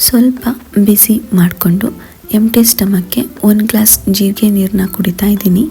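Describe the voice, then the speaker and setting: A woman's medium-pitched voice comes through with noticeable background noise. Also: fairly even intonation. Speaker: vlogger and mother. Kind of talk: casual vlog voiceover.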